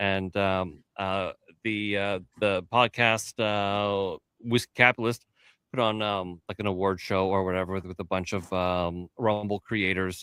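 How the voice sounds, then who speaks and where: In a dry, close recording with no echo, a man with an unremarkable speaking voice talks at a fairly slow pace and fairly low pitch. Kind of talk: casual podcast banter.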